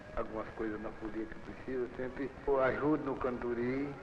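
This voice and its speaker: A man with a medium-pitched voice talks at a fairly slow pace, with audible room echo and noticeable background noise. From Brazil, Goiás, rural Luziânia. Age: 60s. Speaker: farmer. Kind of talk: documentary interview.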